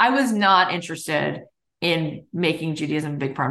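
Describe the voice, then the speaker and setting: With an American accent, a woman speaks in a fairly low pitch and a bright, sharp tone. Vocal fry runs through her voice, which shows ordinary pitch variation. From US South, South Florida. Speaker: business coach and podcaster. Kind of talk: casual interview chat. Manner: animated.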